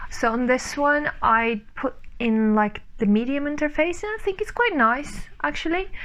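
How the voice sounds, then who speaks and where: There is noticeable background noise as a woman speaks at a moderate pace. Her high-pitched voice has very wide pitch swings. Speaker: sewing vlogger. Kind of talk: casual vlog. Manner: loud; chatty, with fillers.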